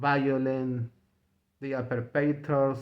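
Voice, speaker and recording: A man with a Spanish accent, a fairly high pitch, and a very slow pace. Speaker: political commentator vlogger. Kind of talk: opinion monologue. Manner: halting; repetitive, emphatic.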